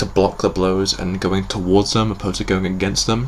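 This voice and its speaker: A British accent at a fairly quick pace, over noticeable background noise. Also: man. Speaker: YouTube reviewer. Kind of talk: review commentary. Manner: halting; enthusiastic.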